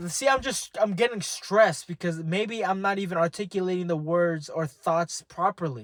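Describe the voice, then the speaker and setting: Dry and close with no echo, a man's high-pitched voice shows ordinary pitch variation. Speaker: vlogger. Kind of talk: casual monologue. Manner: fast; halting, many restarts.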